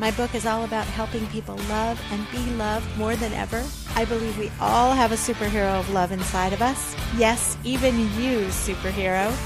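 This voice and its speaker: A woman keeps to a moderate pace as music plays in the background. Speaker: podcast host and author. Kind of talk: podcast intro.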